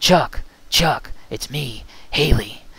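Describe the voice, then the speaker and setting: A man puts on a character voice at a fairly high pitch. The voice is raspy. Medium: read story. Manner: calm, soft-spoken with comrades.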